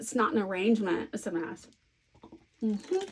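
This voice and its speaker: With an American accent, a woman speaks at a moderate pace with ordinary pitch variation. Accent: Southern US, toned down. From US South. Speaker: scrapbooking crafter. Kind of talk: casual crafting chat. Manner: chatty, thinking aloud.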